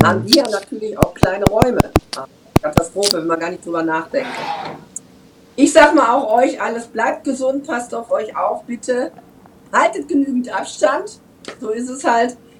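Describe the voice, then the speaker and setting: Against noticeable background noise, a woman with a high voice talks at a moderate pace, her pitch swinging very widely and her loudness rising and falling sharply, with long, frequent pauses. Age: 50s. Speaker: German expat on Mallorca. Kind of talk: casual chat.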